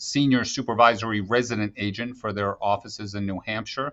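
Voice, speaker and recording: A man with a plain, everyday voice talks at a fairly quick pace. His medium pitch follows fairly even intonation. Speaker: FBI special agent in charge. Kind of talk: interview.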